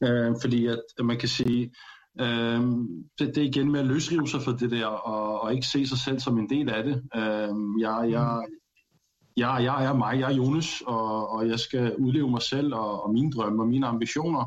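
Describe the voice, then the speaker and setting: With a normal speaking voice, a man talks at a fairly slow pace and medium pitch, keeping fairly even intonation and very even loudness. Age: 30s. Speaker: panel guest. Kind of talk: casual discussion. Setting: studio.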